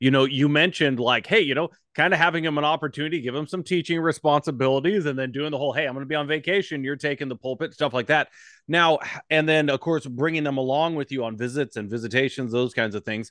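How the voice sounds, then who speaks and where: Recorded dry and close with no echo and a quiet background, a man with an American accent talks at a very fast pace in a fairly high pitch with ordinary pitch variation. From Montana. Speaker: podcast host, pastor. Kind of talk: interview.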